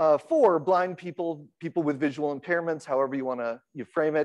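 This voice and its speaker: A loud man's voice, high in pitch, at a moderate pace against a quiet background. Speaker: accessibility researcher. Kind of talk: conference talk. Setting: stage with audience, PA system. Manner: halting, many fillers.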